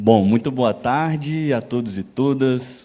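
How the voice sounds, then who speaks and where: Here a man speaks with a mineiro accent. His tone is dark and mellow. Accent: non-São Paulo Brazilian accent (mineiro). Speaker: public official, international relations specialist. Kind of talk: lecture.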